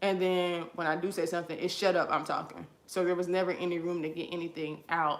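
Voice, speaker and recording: A woman talks at a very fast pace with hardly any pauses. Audible room echo surrounds her voice. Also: fairly low pitch for a woman. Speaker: vlogger. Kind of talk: personal testimony while doing hair. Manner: animated.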